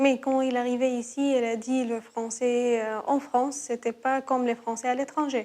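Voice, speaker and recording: A woman speaks in a high pitch with a dark, mellow tone. Her pace is fairly slow and her intonation monotone and flat. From Syria, Aleppo. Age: 30s. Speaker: refugee telling her story. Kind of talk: interview testimony. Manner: halting, many hesitations.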